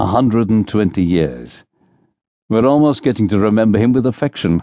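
In dry, close sound with no echo and a quiet background, a man with a fairly low pitch and vocal fry talks at a moderate pace in an animated tone. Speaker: audiobook narrator. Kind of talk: dramatic audiobook narration with character voices, unabridged thriller reading. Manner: animated, shifts between brisk narration and wry, bantering character voices.

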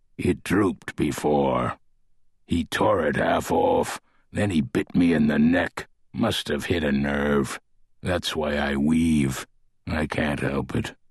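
Using a put-on character voice, a man speaks very deep and low, raspy, at a fairly slow pace with fairly even intonation. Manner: proud, guarded, gruff.

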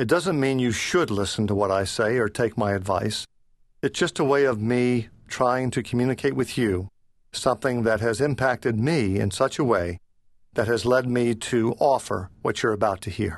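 In a quiet background, a man uses an ordinary speaking voice with medium pitch, ordinary pitch variation and a moderate pace. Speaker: author and leadership consultant, former priest. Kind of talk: scripted audiobook narration read by the author, business/self-help. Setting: studio. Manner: measured, warm, earnest.

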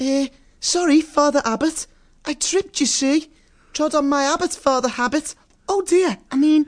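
In a squeaky, high-pitched put-on character voice, someone speaks at a moderate pace with long, frequent pauses over a quiet background. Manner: flustered, stammering, then wistful and admiring.

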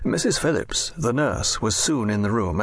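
There is noticeable background noise behind a man with a fairly low pitch. He uses a dramatic tone. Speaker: audiobook narrator. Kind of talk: scripted audiobook narration of a Victorian novel.

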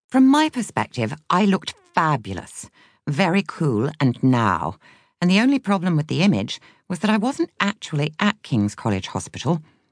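Against a quiet background, a woman with a fairly low pitch and vocal fry speaks at a moderate pace with very wide pitch swings, the sound dry and close with no echo. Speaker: audiobook narrator. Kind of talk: audiobook narration of a memoir.

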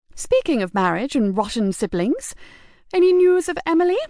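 Shrill and high-pitched, a female-sounding put-on character voice swings very widely in pitch. It moves at a moderate pace over a quiet background. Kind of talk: Victorian upper-class drama. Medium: read story. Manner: haughty, petulant, shrill.

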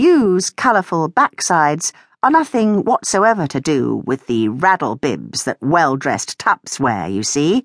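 A woman speaks slowly and in a fairly low pitch, with very wide pitch swings and vocal fry. Her tone is warm and playful, and she hardly pauses. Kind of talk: audiobook narration, reading a memoir aloud. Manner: wry, dryly humorous, playful; warm, expressive, storyteller pacing with character voices.

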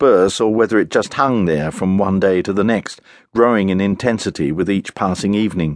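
The voice is reading aloud in a natural voice with ordinary pitch variation.

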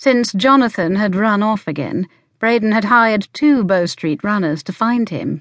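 Reading aloud in a natural voice, ordinary pitch variation over a quiet background

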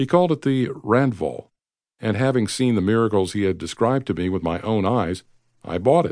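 This is a plain, everyday voice with lively intonation at a fairly quick pace. The background is quiet. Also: man, fairly low pitch for a man. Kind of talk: audiobook narration of a biography, read aloud. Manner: steady, measured, formal narrator.

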